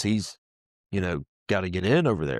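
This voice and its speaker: A man with a Southern US accent talks at a fairly quick pace in a very deep, low pitch, his intonation lively. The recording is very clean, with a silent background. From US South, Mississippi. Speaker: pressure washing business owner. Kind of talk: testimony. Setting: studio. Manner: animated.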